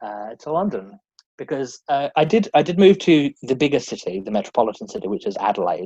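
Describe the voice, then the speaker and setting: Speaking fairly quickly with an Australian accent, a man uses very wide pitch swings, a dark, mellow tone and vocal fry. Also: fairly high pitch for a man, dry, close sound with no echo. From Australia, rural South Australia. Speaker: drag performer and cabaret comedian. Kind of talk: casual interview chat. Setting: podcast interview.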